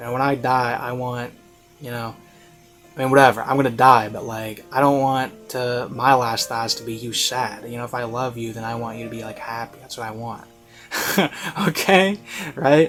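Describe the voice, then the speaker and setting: A man of medium pitch speaks at a moderate pace with fairly even intonation and long, frequent pauses. His loudness swings widely, and music plays in the background. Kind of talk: review commentary to camera. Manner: casual, conversational, emphatic.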